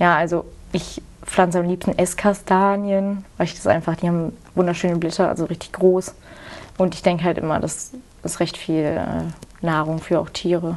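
Speaking at a moderate pace, a woman with a fairly low pitch keeps a monotone, flat intonation and leaves long, frequent pauses. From Rhineland, Germany (near Cologne). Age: 20s. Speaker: farmer and agriculture student. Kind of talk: interview.

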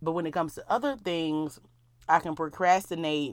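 In a very clean recording with a silent background, a woman with a very deep, low voice talks at a fairly quick pace in an animated tone. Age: 30s. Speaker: podcast host. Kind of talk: casual solo monologue. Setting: recording in her closet.

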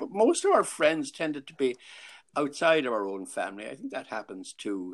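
On a very clean recording with a silent background, a man talks at a moderate pace with a Clare accent. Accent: Irish, Clare. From Ennis, Ireland. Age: 80s. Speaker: grandfather being interviewed. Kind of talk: casual interview, reminiscing.

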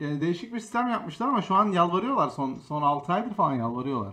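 Projecting his raised voice over noticeable background noise, a man talks fairly quickly with very wide pitch swings. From Istanbul, Turkey. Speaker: streamer and podcast host. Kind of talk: casual chat.

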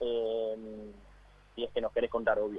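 A man talks in a normal speaking voice at a fairly slow pace, with ordinary pitch variation. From Argentina. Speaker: sports radio co-host. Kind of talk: radio interview. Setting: phone call.

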